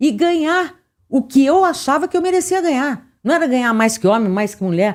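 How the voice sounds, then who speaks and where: The voice moves through very wide pitch swings. It comes on a very clean recording with a silent background. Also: woman. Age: 60s. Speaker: podcast host. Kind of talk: casual chat. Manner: animated.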